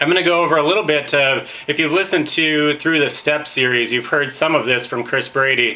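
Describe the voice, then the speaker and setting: A man speaks at a fairly quick pace with ordinary pitch variation. Noticeable noise sits in the background. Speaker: network marketing trainer. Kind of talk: training talk. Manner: loud; hesitant fillers.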